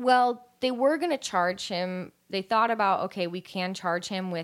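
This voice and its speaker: The recording is very clean, with a silent background. A woman with an American accent speaks at a moderate pace and medium pitch, using ordinary pitch variation. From California. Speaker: true crime podcast co-host. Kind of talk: casual chat with case narration.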